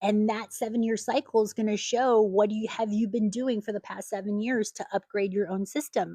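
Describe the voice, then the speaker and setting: Fairly even intonation marks this woman's medium-pitched voice. The sound is dry and close with no echo, over a quiet background. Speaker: astrologer. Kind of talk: solo monologue on astrology. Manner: fast; halting, repeats words.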